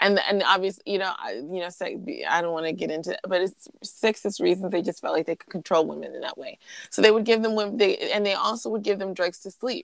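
A woman talks at a very fast pace with big swings in loudness. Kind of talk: casual conversational podcast chat. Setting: video call, remote recording.

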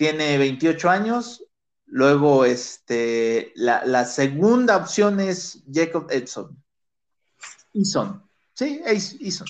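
Speech in a Mexican accent moves at a very slow pace. The pitch swings are very wide. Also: man, high pitch for a man. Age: 30s. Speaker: sports podcast host. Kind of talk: casual chat.

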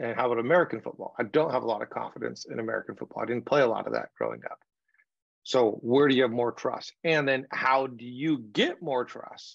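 Speaking at a fairly quick pace, a man uses an ordinary speaking voice at a medium pitch with fairly even intonation. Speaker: communication coach and author. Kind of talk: interview conversation.

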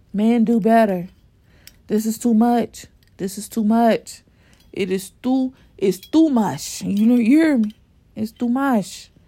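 Somewhat breathy and dark, mellow in tone, a woman speaks at a fairly high pitch. She moves at a fairly slow pace with long, frequent pauses and ordinary pitch variation. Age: 30s. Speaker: solo podcaster. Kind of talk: casual monologue. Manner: halting.

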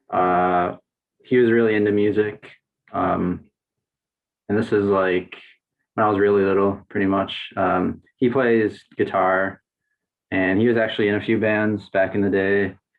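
A man with an American accent talks at a moderate pace and a fairly low pitch, with long, frequent pauses. His intonation is monotone and flat, and his loudness stays very even. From Wisconsin, Racine. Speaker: composer and improviser. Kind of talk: casual chat.

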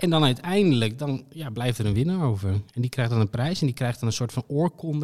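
The delivery is at a fairly quick pace, in an ordinary speaking voice with ordinary pitch variation. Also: man. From Friesland, Netherlands. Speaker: podcast co-host. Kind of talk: casual chat.

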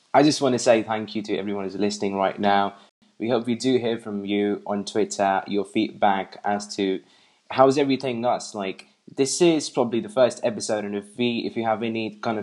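Pitched somewhat low, a male voice talks with an English accent. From England. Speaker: tech enthusiast guest. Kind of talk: casual chat.

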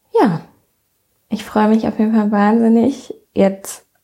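Somewhat breathy, a woman's medium-pitched voice has a dark, mellow tone. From western Germany, near Bonn. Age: 20s. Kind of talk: casual solo podcast monologue.

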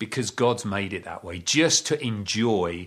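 A man talks in a plain, everyday voice. His pitch is fairly low, with ordinary variation. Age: 50s. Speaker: pastor. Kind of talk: sermon.

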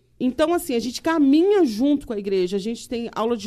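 A woman speaks with a dark, mellow tone. The recording is very clean with a silent background. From Rio de Janeiro, Brazil. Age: 50s. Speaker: community leader and former councilwoman. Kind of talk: casual chat.

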